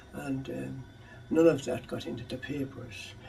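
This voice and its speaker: Music plays in the background as a man talks with an Irish accent. The room echo is audible. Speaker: clan chief interviewee. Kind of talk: oral history interview. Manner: halting.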